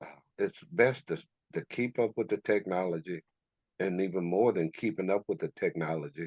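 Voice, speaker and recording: With an American accent, a man speaks at a very deep, low pitch. His pace is moderate and his pitch variation ordinary. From Texas, Houston. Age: 60s. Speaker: cultural memory consultant. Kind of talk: podcast interview. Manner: halting, with repetitions and restarts.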